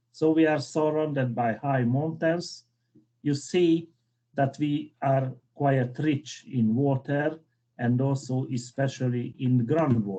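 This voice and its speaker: A man with a Hungarian accent, a dark, mellow tone and a fairly high pitch, speaking at a very slow pace with ordinary pitch variation and very even loudness. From Hungary. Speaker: civil engineer, keynote speaker. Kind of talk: conference keynote lecture.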